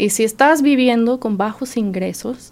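A woman speaking at a fairly slow pace. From Indiana, US. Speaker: health insurance enrollment worker. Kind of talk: radio interview.

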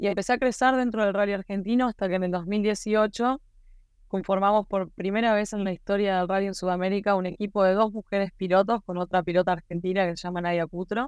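A woman's medium-pitched, fairly even voice at a fairly quick pace, an unremarkable speaking voice, against a quiet background. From Uruguay, Maldonado. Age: 30s. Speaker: rally driver. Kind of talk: interview.

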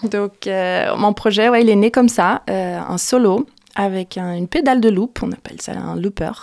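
A woman with a Portuguese accent talks at a moderate pace. The sound is dry and close, with no echo. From Brazil. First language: Portuguese (speaking French). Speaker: singer-songwriter. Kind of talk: radio interview. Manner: halting, with repetitions.

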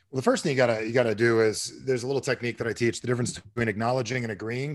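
Speaking at a very fast pace, a man with an American accent is heard on a very clean recording with a silent background. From New Jersey. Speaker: sales trainer and author. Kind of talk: podcast interview.

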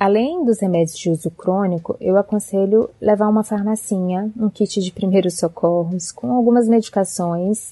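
A woman speaks at a medium pitch in a dark, mellow tone. She barely pauses, and the sound is dry and close with no echo. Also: ordinary pitch variation, moderate pace. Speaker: doctor and travel blogger. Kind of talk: recorded advice segment.

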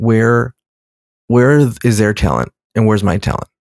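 An unremarkable speaking voice from a man with an American accent, fairly low in pitch and fairly quick, recorded dry and close with no echo, very clean with a silent background. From Los Angeles, US. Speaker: writer and director. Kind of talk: casual chat.

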